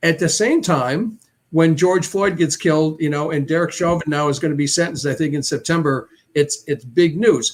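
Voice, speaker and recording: With an American accent, a man of fairly high pitch speaks at a moderate pace while music plays in the background. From upstate New York (Syracuse). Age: 70s. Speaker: panel guest. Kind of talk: panel discussion. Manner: halting, many repetitions.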